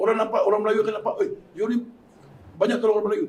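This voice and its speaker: A man talks high in pitch, varying it in an ordinary way. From Malaysia. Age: 60s. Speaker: community volunteer running hearse van service. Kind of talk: panel talk show discussion.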